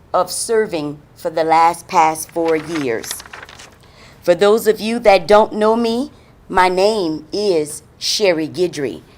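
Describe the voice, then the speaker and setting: Over noticeable background noise, a woman with an American accent speaks very slowly, her intonation lively. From Louisiana, New Iberia area. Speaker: city council member, political candidate. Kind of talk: campaign speech. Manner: loud; animated.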